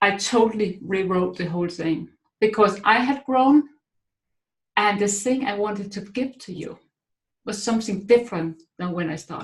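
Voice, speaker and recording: A woman speaks with a Danish accent at a moderate pace. Her voice is somewhat breathy. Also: medium pitch for a woman, ordinary pitch variation, big swings in loudness. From Denmark. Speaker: author and speaker. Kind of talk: webinar talk. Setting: online webinar.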